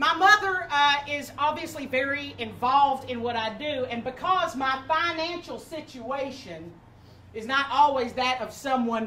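Over light background noise, a woman speaks at a fairly slow pace in a raised, projected voice. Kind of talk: comic storytelling monologue.

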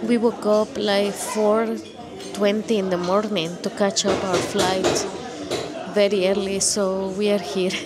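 Music plays behind this woman. She talks at a very slow pace. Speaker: travel vlogger. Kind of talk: casual vlog chat. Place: cafe. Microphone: handheld.

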